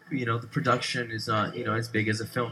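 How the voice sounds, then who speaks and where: The man rushes along at a very fast pace while noticeable background noise carries on behind him. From Brazil. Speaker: radio host. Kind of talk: casual interview. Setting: studio.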